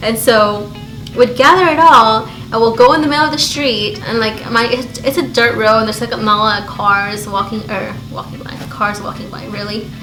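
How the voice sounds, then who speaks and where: Amid noticeable background noise and audible room echo, a woman speaks at a moderate pace in an animated tone, her fairly high pitch showing ordinary variation while her loudness swings widely. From Belize. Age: 30s. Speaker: beauty YouTuber. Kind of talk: casual chat.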